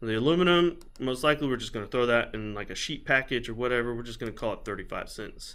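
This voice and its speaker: This man's voice sits at a medium pitch with a bright, sharp tone, on a very clean recording with a silent background. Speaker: scrap recycler. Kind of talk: tutorial. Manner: halting.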